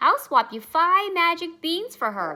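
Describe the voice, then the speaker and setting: Using a put-on character voice, a woman speaks at an extremely high pitch with very wide swings at a moderate pace. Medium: read story.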